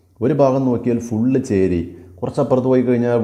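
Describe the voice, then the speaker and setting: Fairly even intonation and a dark, mellow tone come through with audible room echo. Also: man. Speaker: English teacher. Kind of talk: lecture.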